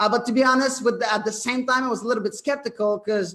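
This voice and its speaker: A man with a French Canadian accent, in a very clean recording against a silent background. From Quebec, Canada. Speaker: network marketing presenter. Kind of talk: sales pitch. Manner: halting, many fillers.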